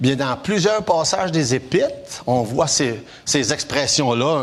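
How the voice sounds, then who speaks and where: A man speaks at a very slow pace with very wide pitch swings. Noticeable background noise is present. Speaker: preacher. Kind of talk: sermon.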